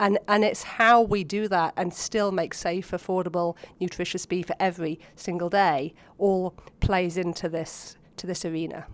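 With an English accent, a woman speaks with fairly even intonation. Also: medium pitch for a woman, moderate pace. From England (Oxford). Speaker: animal science researcher. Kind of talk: interview.

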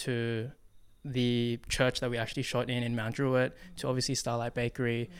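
With an Australian accent, a man talks at a medium pitch in a monotone, flat intonation. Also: moderate pace. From Western Sydney, Australia. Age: 20s. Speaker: filmmaker and breakdancer. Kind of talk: interview. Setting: studio. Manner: casual, many filler words.

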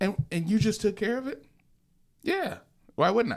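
A man speaks with an American accent. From Lansing area, Michigan. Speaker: DJ and business owner. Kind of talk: casual chat. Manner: animated.

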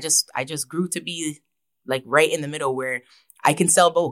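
With a Toronto accent, a woman talks at a moderate pace in a very deep, low pitch with ordinary variation. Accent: Toronto Canadian English. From Canada, Toronto. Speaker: rapper. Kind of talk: interview.

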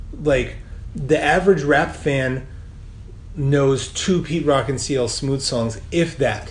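A man with a fairly high-pitched voice talks at a very slow pace with ordinary pitch variation, over noticeable background noise. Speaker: podcast co-host. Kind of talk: casual chat. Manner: casual, colloquial, profane.

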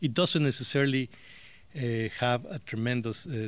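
A man speaks at a medium pitch. He moves at a fairly slow pace. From Mexico. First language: Spanish. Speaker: interviewee. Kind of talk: interview.

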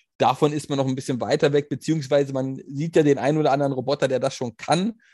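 A man with a normal speaking voice, medium pitch and fairly quick pace, in a dry, close sound with no echo against a quiet background. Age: 30s. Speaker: podcast co-host. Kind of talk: casual chat.

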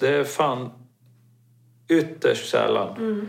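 A man speaks at a very slow pace. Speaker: mountaineering expedition participant. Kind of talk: casual interview.

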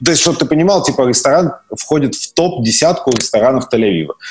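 Lively in intonation, a man speaks at a fairly high pitch and a fairly quick pace. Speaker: podcast guest, former emigrant to Israel. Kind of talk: casual chat. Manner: halting, many fillers.

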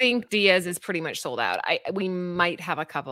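Woman's animated, bright, sharp voice, fairly low-pitched, with lively intonation and a fairly quick pace. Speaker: comic book co-host. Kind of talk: casual chat.

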